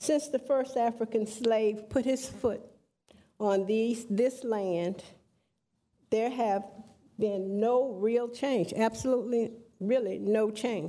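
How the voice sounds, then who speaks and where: A woman speaks very slowly at a fairly high pitch, her dark, mellow tone held at very even loudness, her intonation fairly even, with long, frequent pauses. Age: 60s. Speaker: public commenter at council meeting. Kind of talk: public comment speech. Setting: city council chamber. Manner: impassioned.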